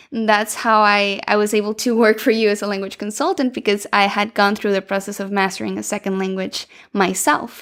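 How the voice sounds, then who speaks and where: On a very clean recording with a silent background, a woman of medium pitch with a Spanish accent speaks fairly quickly with hardly any pauses and fairly even intonation. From Venezuela. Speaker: podcast co-host and language consultant. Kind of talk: casual podcast conversation.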